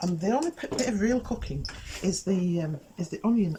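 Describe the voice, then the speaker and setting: Whispering at a fairly quick pace, a woman with an English accent is heard over noticeable background noise. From England. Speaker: cooking show host. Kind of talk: cooking demonstration. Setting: outdoors in a garden. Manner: whispering a bit; hesitant, many fillers. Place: garden.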